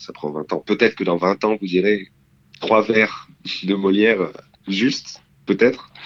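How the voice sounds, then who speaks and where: A man talks at a very deep, low pitch. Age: 20s. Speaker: drama student. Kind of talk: interview.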